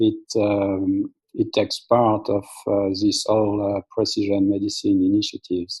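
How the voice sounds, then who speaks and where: Recorded dry and close with no echo against a quiet background, a man with a French accent speaks at a moderate pace with very even loudness. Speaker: molecular biologist, app company founder. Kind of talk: presentation. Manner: halting, many fillers.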